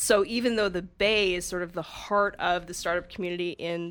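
A woman's medium-pitched voice with fairly even intonation, on a very clean recording with a silent background. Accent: western Canadian. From Calgary, Canada. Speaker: municipal finance director. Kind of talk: podcast interview. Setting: radio studio.

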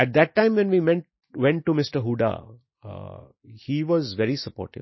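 The man's voice is fairly high and somewhat breathy. His pitch swings very widely. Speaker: education entrepreneur. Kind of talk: interview.

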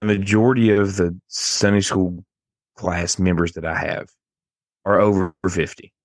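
A fairly low-pitched man with an Appalachian accent at a fairly slow pace. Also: fairly even intonation. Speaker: podcast host. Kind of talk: casual chat, storytelling.

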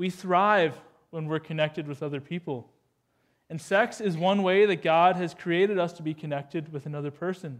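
At a fairly quick pace, a man with a Canadian accent speaks in a high pitch with ordinary pitch variation. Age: 20s. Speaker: youth pastor. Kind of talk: sermon. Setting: church. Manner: animated.

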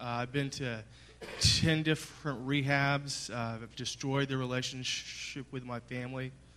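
A man's medium-pitched voice with a Texan accent, bright and sharp in tone, monotone and flat, at a fairly slow pace. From Texas, Dallas. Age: 30s. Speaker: recovering addict. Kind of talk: testimony. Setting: church.

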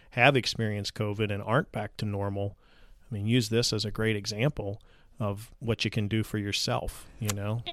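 A man with a normal speaking voice talks at a fairly quick pace in a fairly low pitch. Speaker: podcast host. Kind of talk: interview. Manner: friendly, upbeat.

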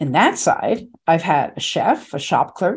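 A woman with an American accent. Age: 70s. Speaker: podcast host. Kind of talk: scripted narration.

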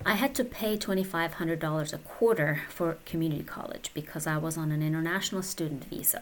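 Talking at a moderate pace, a woman with a Persian accent has a fairly low pitch. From Iran. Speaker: podcaster. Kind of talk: personal storytelling monologue.

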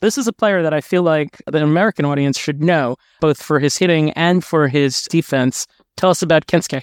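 A man with an unremarkable speaking voice talks at a fairly quick pace and a fairly high pitch, with ordinary pitch variation and very even loudness, recorded very cleanly with a silent background and a dry, close sound with no echo. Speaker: podcast host. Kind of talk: interview podcast.

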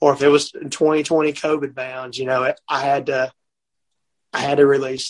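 A man with a Mississippi accent talks at a moderate pace and a fairly high pitch, in monotone, flat intonation. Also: dry, close sound with no echo. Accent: Southern US (Mississippi). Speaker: country singer-songwriter. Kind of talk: casual chat. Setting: on the road.

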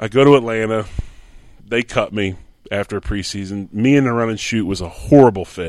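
A man with an ordinary speaking voice and an American accent, fairly low in pitch, at a fairly quick pace with ordinary pitch variation. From Pottstown, Pennsylvania, near Philadelphia. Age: 50s. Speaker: former pro football player and coach. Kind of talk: interview, casual storytelling. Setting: at his home.

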